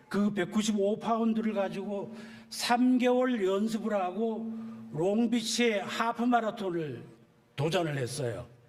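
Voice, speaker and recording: A man at a very slow pace, high-pitched, with lively intonation and audible room echo. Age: 70s. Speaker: church elder and amateur marathon runner. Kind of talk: personal testimony talk. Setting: church service. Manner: casual with frequent filler pauses.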